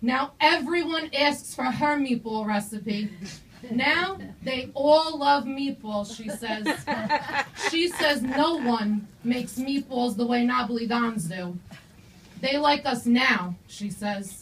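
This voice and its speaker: Speaking at a very slow pace, a woman uses a high pitch and lively intonation. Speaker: student poet. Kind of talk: poetry reading. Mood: earnest, emotional. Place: stage. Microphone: camera far.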